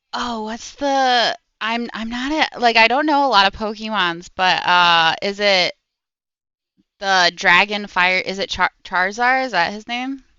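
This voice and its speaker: An unremarkable speaking voice from a woman with an American accent, fairly high-pitched, with lively intonation and a fairly slow pace. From Maryland, near Washington DC. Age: 20s. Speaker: streamer. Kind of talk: casual chat. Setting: live stream.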